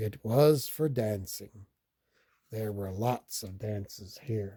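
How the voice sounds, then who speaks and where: Using a put-on character voice, a man speaks in a gentle tone at a very slow pace with a fairly low pitch. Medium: read story. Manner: quiet, gentle.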